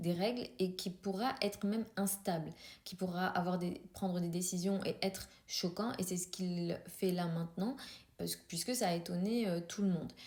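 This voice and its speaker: A woman speaks at a medium pitch. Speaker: astrologer. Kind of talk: astrology commentary video. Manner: fast; hesitant, many filler sounds.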